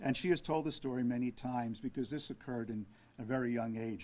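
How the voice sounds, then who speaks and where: A man with a New York accent at a fairly quick pace, his intonation fairly even. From Brooklyn, New York City; New York City. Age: 70s. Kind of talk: press conference. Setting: press conference with media. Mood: calm, earnest. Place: hall. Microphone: podium.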